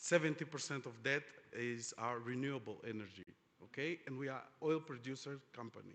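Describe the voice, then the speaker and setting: A man speaks with a Portuguese accent at a medium pitch. His pace is moderate and his pitch varies in an ordinary way. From Angola. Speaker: oil industry executive, panelist. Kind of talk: conference panel discussion. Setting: conference stage with audience. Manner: halting, many fillers.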